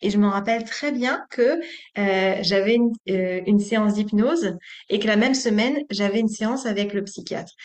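Here is a woman with an ordinary speaking voice at medium pitch. She talks at a moderate pace. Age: 30s. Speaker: yoga teacher. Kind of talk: interview.

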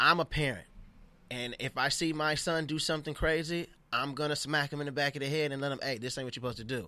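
A man talks very fast in a fairly high pitch with a bright, sharp tone. The recording is very clean, with a silent background. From Los Angeles, US. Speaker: comedian. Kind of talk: casual chat. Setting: studio. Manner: animated.

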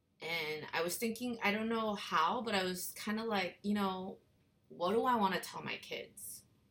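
This woman has an unremarkable speaking voice, medium in pitch. She talks at a moderate pace with ordinary pitch variation. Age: 40s. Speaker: podcast host. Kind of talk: casual chat.

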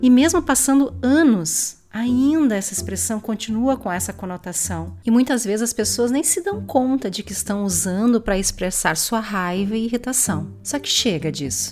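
Noticeable background noise sits behind a woman's voice. She talks at a moderate pace with hardly any pauses. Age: 40s. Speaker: podcast host. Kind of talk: personal monologue.

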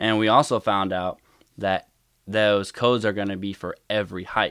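On a very clean recording with a silent background, a man speaks at a moderate pace with monotone, flat intonation. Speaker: gaming community moderator and veteran. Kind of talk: casual chat. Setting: podcast recording session with monitor. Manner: rarely shows emotion.

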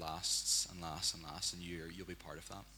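A man with a Northern Irish accent, very deep and low in pitch, bright and sharp in tone, with vocal fry, monotone, flat intonation and a fairly quick pace. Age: young. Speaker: church member. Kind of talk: prophetic word.

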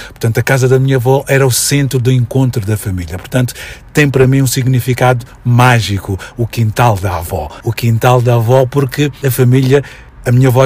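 The intonation stays fairly even at a moderate pace. Noticeable background noise sits behind the voice. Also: man. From Mozambique (Maputo, Mafalala). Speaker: educator and commentator. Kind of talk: radio interview.

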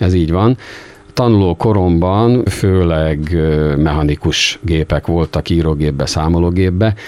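A man talks at a fairly slow pace in a very deep, low pitch. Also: ordinary pitch variation. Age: 60s. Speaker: typewriter and calculator repairman. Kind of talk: interview. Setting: small workshop.

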